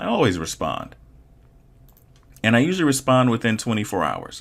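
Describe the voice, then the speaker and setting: A man with vocal fry and medium pitch talks at a fairly quick pace. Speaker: online art instructor. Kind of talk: tutorial.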